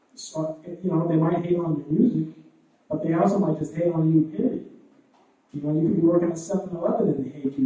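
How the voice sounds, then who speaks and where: A man talks at a fairly quick pace. His pitch is fairly high, and he speaks with a Boston accent. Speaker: hip hop performer. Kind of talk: panel Q&A answer. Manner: animated, moves hands a lot.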